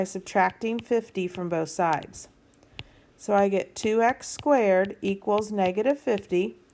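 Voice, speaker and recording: A woman's unremarkable speaking voice at medium pitch, fairly slow in pace, with ordinary pitch variation. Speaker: math teacher. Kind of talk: tutorial.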